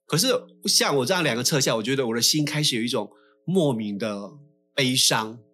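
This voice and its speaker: Fairly quick male speech with a bright, sharp tone. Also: ordinary pitch variation. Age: 60s. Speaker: podcast co-host. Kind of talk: casual chat. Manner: animated.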